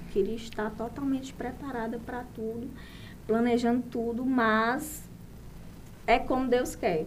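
The voice has vocal fry and fairly even intonation, moving at a fairly slow pace with long, frequent pauses and audible room echo. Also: woman, fairly high pitch for a woman. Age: 30s. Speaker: saleswoman and course participant. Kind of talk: casual chat.

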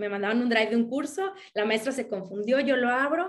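With ordinary pitch variation, the woman's voice sits fairly high. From Mexico. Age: 30s. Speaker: akashic records reader. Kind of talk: interview. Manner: halting.

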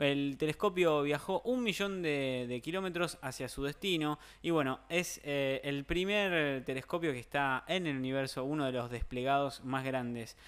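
On a very clean recording with a silent background, a man talks at a fairly high pitch with ordinary pitch variation. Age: 20s. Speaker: radio show host. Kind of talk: casual chat. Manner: halting, many fillers and repetitions.

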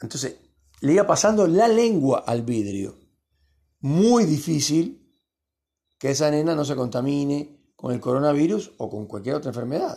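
Fairly slow and fairly high-pitched, this man's voice has a dark, mellow tone and very wide pitch swings. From Cuba. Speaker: podcast host. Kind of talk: late-night monologue. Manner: hesitant, many fillers.

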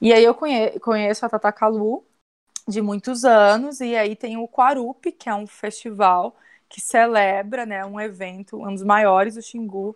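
A woman with an unremarkable speaking voice talks at a fairly slow pace and fairly high pitch, with fairly even intonation but big swings in loudness. The recording is very clean and silent behind her, with a dry, close sound and no echo. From Minas Gerais, Brazil (born in Brasília, moved as a baby). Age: 30s. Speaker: tourism graduate, holistic therapist and travel blogger. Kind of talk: casual interview.

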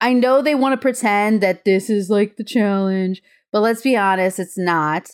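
With an American accent, a woman speaks at a medium pitch and a moderate pace, her pitch varying in an ordinary way and her loudness very even, in an unremarkable speaking voice on a very clean recording with a silent background. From Chicago suburbs, US Midwest, Mexican heritage. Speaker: podcast co-host. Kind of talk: casual chat.

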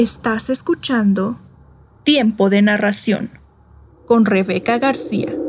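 A woman with a fairly high pitch speaks in a dramatic tone at a very slow pace, with long, frequent pauses and ordinary pitch variation. Noticeable background noise runs behind her. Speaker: announcer. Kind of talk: scripted intro and credits. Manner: clear, suspenseful, dramatic.

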